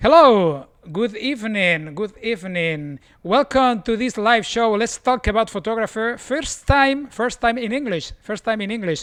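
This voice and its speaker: A man speaks with a Spanish accent in a high pitch. His intonation is lively and his pace moderate. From Spain, Barcelona. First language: Spanish or Catalan. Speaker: photographer, live show host. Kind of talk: live video chat hosting. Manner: halting, repetitive.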